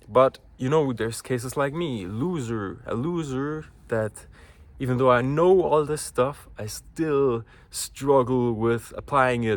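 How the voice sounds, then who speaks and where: Fairly slow speech with ordinary pitch variation. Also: man. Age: 20s. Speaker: vlogger. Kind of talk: casual vlog monologue. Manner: halting.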